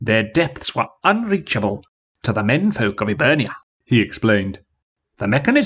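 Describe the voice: Someone reads aloud plainly. Nothing much stirs in the background.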